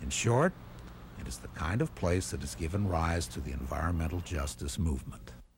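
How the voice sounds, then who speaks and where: A man's very deep, low voice with vocal fry, lively intonation, and a fairly quick pace. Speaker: documentary narrator. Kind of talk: documentary narration.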